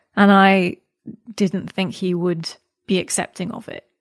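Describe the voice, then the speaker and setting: Fairly slow, fairly even speech with a Scottish accent, the sound dry and close with no echo. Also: woman, quiet background. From Scotland. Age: 30s. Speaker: podcast interview guest. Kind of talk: casual interview conversation.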